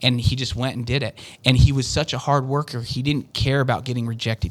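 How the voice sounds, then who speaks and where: A man with an American accent talks at a fairly quick pace. His pitch sits in the medium range. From Utah. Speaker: door-to-door sales businessman. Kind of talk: interview. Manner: animated.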